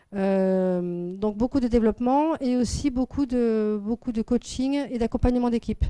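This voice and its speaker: A woman is speaking. Her tone is dark and mellow. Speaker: business network founder presenting to audience. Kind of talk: business presentation. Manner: fast.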